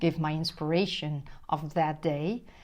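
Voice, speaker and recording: Speaking at a fairly slow pace with a Dutch accent, a woman with a very deep, low pitch is heard on a very clean recording with a silent background. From Netherlands. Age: 50s. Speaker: spiritual relationship coach. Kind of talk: motivational monologue to camera.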